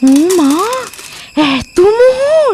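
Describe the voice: Using a put-on character voice with a slightly mellow tone, the speaker moves at a very slow pace with big pitch swings. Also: woman, extremely high pitch for a woman.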